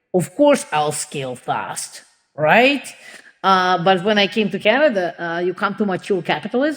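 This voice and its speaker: Talking at a fairly slow pace, a woman speaks at a medium pitch with a Russian accent. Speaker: entrepreneur and advocate for immigrant women. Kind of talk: podcast interview. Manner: halting, many fillers.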